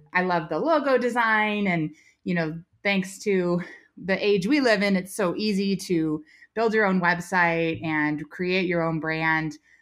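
A woman with a Californian accent, fairly low in pitch, with ordinary pitch variation and a fairly slow pace. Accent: General American (Californian). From US West Coast, Silicon Valley, California. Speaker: rancher and business owner. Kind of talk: casual interview chat.

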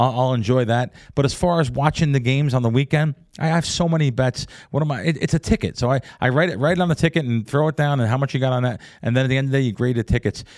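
A man talks at a very fast pace in an American accent. The recording is very clean, with a silent background and a dry, close sound with no echo. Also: medium pitch for a man, ordinary pitch variation. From New Jersey / New York area. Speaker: professional sports bettor. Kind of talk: casual interview. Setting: studio.

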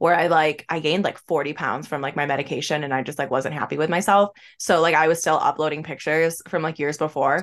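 A woman's very deep, low voice, very fast and animated, against a quiet background. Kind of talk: casual chat. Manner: animated, laughs often.

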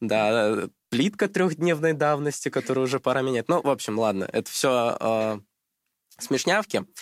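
In a normal speaking voice, a man talks at a moderate pace with medium pitch and lively intonation, the recording very clean with a silent background and a dry, close sound with no echo. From Russia, Krasnodar Krai. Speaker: chemistry tutor, student. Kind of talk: casual chat.

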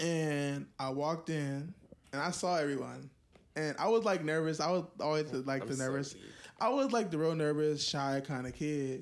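A man's fairly high voice shows ordinary pitch variation, delivered in a normal speaking voice. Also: moderate pace. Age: 20s. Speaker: photographer. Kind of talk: casual chat. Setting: home recording.

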